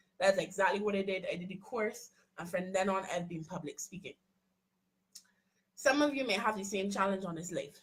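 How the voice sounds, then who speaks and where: A woman at medium pitch speaks at a fairly quick pace in an animated tone, somewhat breathy, with ordinary pitch variation. Her loudness swings widely, and she takes long, frequent pauses. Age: young. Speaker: HR coach and motivational speaker. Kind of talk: live-stream motivational talk. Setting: social media live stream. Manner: fast.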